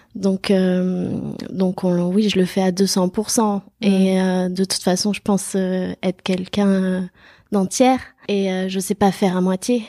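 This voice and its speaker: A woman speaks very slowly in a dark, mellow tone at a medium pitch, her intonation monotone and flat. The sound is dry and close with no echo, a very clean recording over a silent background. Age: 30s. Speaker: self-employed pastry chef. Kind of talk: casual interview.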